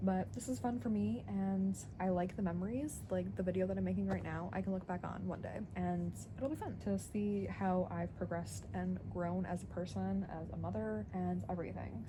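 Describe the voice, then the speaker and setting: Audible echo fills the room around the speaker. She is a woman talking fairly quickly. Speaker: stay-at-home mom vlogger. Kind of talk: casual vlog narration. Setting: home basement. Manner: stutters and stumbles sometimes; filler-heavy casual speech.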